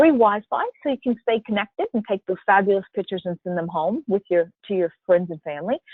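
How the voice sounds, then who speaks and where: Speaking with a South Louisiana accent, a woman keeps a moderate pace. Her pitch swings very widely. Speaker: cruise line sales representative. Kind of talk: sales presentation. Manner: casual, filler-heavy.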